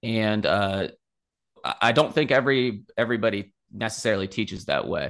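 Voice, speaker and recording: Here is an ordinary speaking voice from a man with an American accent and medium pitch. He keeps fairly even intonation at a moderate pace. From West Virginia. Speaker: finance professor. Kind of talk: interview.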